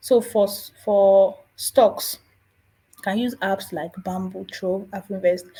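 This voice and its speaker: A woman with a Nigerian accent speaks at medium pitch. Her tone is dark and mellow, and somewhat breathy. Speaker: personal finance youtuber. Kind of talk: casual tutorial.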